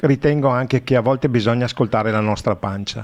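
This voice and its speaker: Medium-pitched male speech, its pitch varying in an ordinary way. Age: 60s. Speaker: radio host. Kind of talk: radio interview.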